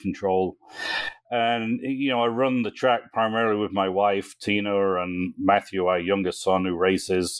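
A man's fairly low-pitched voice with fairly even intonation, over noticeable background noise. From English Midlands. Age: 50s. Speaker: race track operator. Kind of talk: podcast interview.

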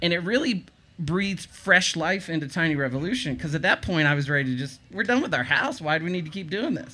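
Very fast speech in a Southern US accent has lively intonation and a bright, sharp tone, recorded very cleanly against a silent background. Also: man, high pitch for a man. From eastern North Carolina. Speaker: tiny house blogger. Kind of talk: casual interview.

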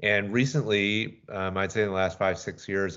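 With an American accent, a man speaks at a moderate speed. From US South, Atlanta. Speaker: tech startup founder and CEO. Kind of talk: interview.

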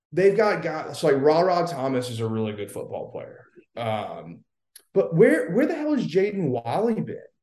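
A man speaks at a moderate pace with big swings in loudness, and the room echo is audible. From Louisiana. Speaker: football correspondent, former recruiting staffer. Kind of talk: casual sports chat.

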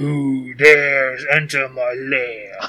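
A man's put-on character voice at medium pitch. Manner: menacing.

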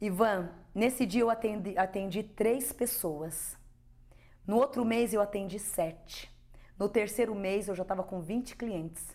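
At a fairly slow pace, a woman speaks in a medium pitch with a dark, mellow tone and ordinary pitch variation. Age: 50s. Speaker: spiritual medium. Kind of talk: interview testimony.

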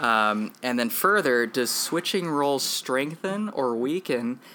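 The speech moves at a fairly slow pace with lively intonation, against noticeable background noise. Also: man. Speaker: podcast host. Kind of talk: casual chat.

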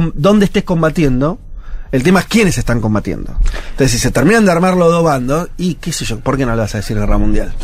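A man with a fairly high pitch and a Rioplatense accent talks very fast, his pitch swinging very widely over noticeable background noise. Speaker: radio host. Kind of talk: casual chat.

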